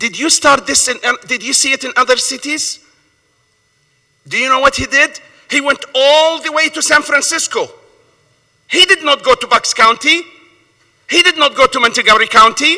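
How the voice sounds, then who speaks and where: A raised, projected voice with a bright, sharp tone, ordinary pitch variation, a moderate pace and long, frequent pauses. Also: man. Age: 60s. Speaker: small store owner testifying at a hearing. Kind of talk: public hearing testimony. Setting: council hearing room. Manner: impassioned, emphatic; repetitive, stammering at times.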